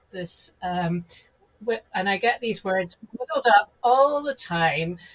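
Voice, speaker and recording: A woman's lively intonation over music in the background. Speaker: podcast host. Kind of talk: casual interview.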